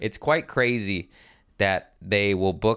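A man with an American accent, an ordinary speaking voice, fairly low pitch and ordinary pitch variation. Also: very clean recording, silent background. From Los Angeles, California. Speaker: stand-up comedian. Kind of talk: casual chat. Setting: studio.

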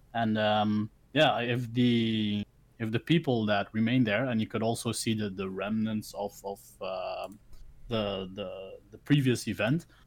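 A man talks at a fairly slow pace with a Dutch accent. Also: medium pitch for a man, fairly even intonation. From Belgium, village. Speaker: content creator. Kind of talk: casual chat. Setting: video call.

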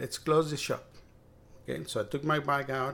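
Speaking at a moderate pace with a Spanish accent, a man uses a medium pitch and some vocal fry. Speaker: bike mechanic and cycling advocate. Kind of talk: casual interview chat.

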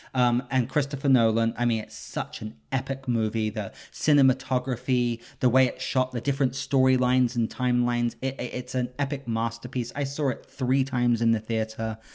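A man with an English accent, monotone and flat in intonation, with hardly any pauses, on a very clean recording with a silent background. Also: medium pitch for a man, fairly quick pace. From England. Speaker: podcast host. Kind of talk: casual chat.

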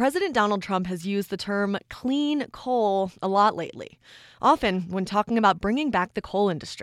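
A plain, everyday voice at a moderate pace, with ordinary pitch variation and a very clean recording with a silent background. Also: woman, medium pitch for a woman. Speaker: podcast host. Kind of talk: scripted narration.

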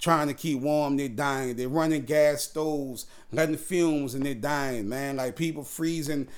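At a fairly slow pace, a man speaks with fairly even intonation and a fairly high pitch. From New Orleans, US South. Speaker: podcast host. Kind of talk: casual monologue.

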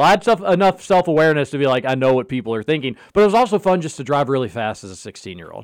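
On a very clean recording with a silent background, a man talks at a very fast pace in a fairly high voice, his pitch swinging very widely. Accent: slight Kentucky. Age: 30s. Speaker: sports radio host. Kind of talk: casual sports talk radio. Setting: radio studio.

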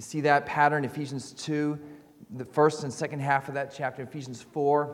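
Against noticeable background noise, a man with a fairly high pitch speaks at a moderate pace in a monotone, flat intonation. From Canada. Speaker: visiting preacher, seminary student. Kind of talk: sermon. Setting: church. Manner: halting, with frequent repeats and fillers.

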